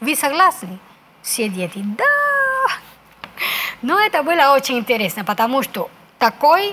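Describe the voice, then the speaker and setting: A woman with a Spanish accent at a very slow pace. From Cuba. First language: Spanish (speaking Russian). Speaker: ambassador; guest. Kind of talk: interview. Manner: halting, many hesitations. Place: studio. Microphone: lapel.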